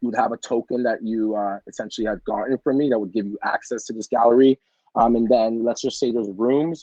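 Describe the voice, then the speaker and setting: A man at medium pitch, fairly quick in pace, with fairly even intonation. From Canada, Jamaican Canadian family. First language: French. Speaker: photographer and NFT artist. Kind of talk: casual interview chat. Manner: many fillers (um, like).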